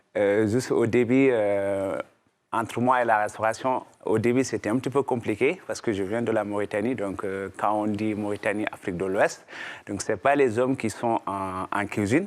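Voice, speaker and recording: A man's fairly low-pitched voice, an unremarkable speaking voice, with fairly even intonation and a moderate pace. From Mauritania, rural villages. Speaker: chef and restaurateur. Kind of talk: testimony.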